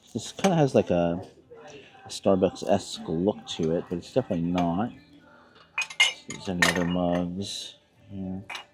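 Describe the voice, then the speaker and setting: Against noticeable background noise, a man with a very deep, low pitch speaks at a moderate pace with ordinary pitch variation, big swings in loudness and long, frequent pauses. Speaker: thrift reseller vlogger. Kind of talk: casual vlog narration while shopping. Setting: inside a thrift store. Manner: louder outdoor voice.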